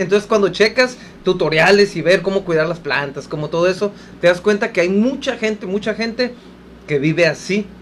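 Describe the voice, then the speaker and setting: At a fairly quick pace, a man with a high pitch speaks over noticeable background noise. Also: ordinary pitch variation. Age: 40s. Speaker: radio co-host. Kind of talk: casual radio chat.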